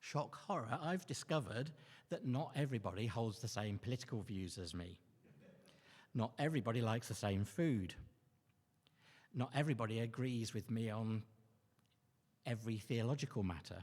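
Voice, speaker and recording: A man with a medium pitch and somewhat breathy voice at a moderate pace, lively intonation, and long, frequent pauses. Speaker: lay preacher. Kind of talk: sermon. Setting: church. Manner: halting.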